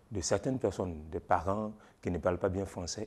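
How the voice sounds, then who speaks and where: A man's voice, fairly low in pitch, carries a dark, mellow tone. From Ivory Coast. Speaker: storyteller. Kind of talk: interview answer. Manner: hesitant. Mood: warm, smiling, animated. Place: shop. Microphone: lapel.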